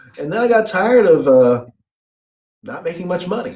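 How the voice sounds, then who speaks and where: Talking at a fairly quick pace with a Chicago accent, a man's voice moves through very wide pitch swings. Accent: Chicago American English. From US Midwest (Chicago, Illinois). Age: 30s. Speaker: English teacher abroad. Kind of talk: interview on a live stream.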